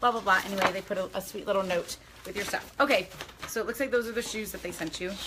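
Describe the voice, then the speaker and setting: Over noticeable background noise, a woman talks very fast in an animated tone at a medium pitch with ordinary pitch variation. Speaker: lifestyle vlogger. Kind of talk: casual unboxing chat.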